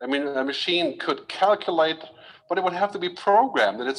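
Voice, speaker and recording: A man is speaking. His voice has vocal fry. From Germany. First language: German. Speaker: futurist speaker. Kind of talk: keynote talk. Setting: stage with audience. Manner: fast.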